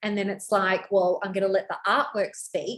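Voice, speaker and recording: At a moderate pace, a woman speaks with a fairly high pitch. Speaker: brand coach. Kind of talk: website review tutorial. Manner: high energy.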